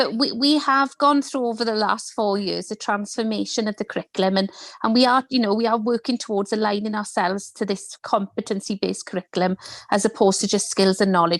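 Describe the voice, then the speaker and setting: Speaking very fast with a Welsh accent, a woman has a fairly high pitch, and the sound is dry and close with no echo. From Wales. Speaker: educator. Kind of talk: online panel discussion.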